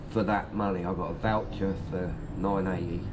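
A man's very deep, low pitch is heard against noticeable background noise. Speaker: vlogger on holiday. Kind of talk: casual vlog chat. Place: street. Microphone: phone near.

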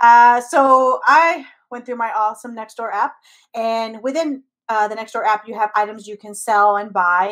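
A woman with an American accent speaks at a moderate pace with ordinary pitch variation. Her loudness swings widely, over a quiet background. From US, Mexican American family. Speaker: comedian podcast co-host. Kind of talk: casual chat. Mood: amused disbelief, animated. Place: home room. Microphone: video call.

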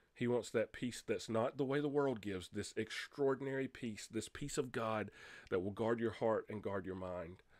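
A man with a Southern US accent, ordinary pitch variation and a quiet background. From US South, North Carolina. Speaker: pastor. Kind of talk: sermon. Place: home room. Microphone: studio mic.

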